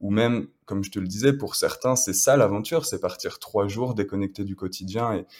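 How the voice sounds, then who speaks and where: On a very clean recording with a silent background, a man uses a normal speaking voice at a fairly low pitch, with ordinary pitch variation and a moderate pace. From France, Le Mans. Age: 20s. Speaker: adventurer. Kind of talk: casual interview.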